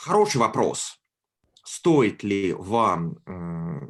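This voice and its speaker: Against a quiet background, a man with a fairly low voice speaks with lively intonation. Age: 20s. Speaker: graduate student speaking to school pupils. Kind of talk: online talk. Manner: hesitant, with fillers.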